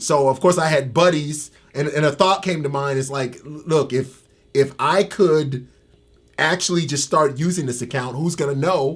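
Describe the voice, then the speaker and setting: A man's somewhat breathy, fairly high voice with an American accent, fairly even intonation and a moderate pace. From Tampa, Florida. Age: 50s. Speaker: ex-convict. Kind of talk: interview. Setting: in-person interview. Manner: halting, repeats words.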